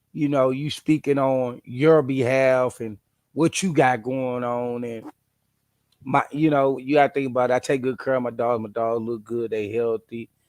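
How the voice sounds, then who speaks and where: At a moderate pace, a man with a medium-pitched voice and a Midwestern accent speaks with fairly even intonation, the sound dry and close with no echo. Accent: country-sounding Midwestern speech. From St. Louis, Missouri. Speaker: dog breeder and video host. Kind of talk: casual monologue.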